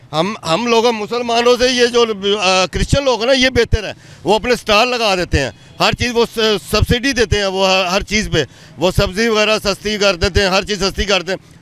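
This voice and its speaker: Using a bright, sharp tone, a man with a high voice talks at a moderate pace with ordinary pitch variation. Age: 60s. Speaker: man on the street, citizen. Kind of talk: street interview. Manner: animated, indignant.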